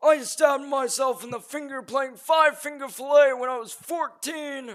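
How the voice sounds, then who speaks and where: Extremely high-pitched put-on character voice from a man. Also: moderate pace. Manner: reminiscing, put-on.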